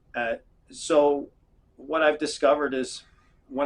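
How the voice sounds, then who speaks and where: A man with a fairly high-pitched voice. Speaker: self-help video creator. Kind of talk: casual explainer monologue. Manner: fast; halting, many fillers.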